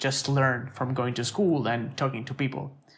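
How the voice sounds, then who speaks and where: At a moderate pace, a somewhat breathy voice speaks with fairly even intonation. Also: man. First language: Italian. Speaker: designer. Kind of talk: podcast interview. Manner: halting, many fillers and repetitions.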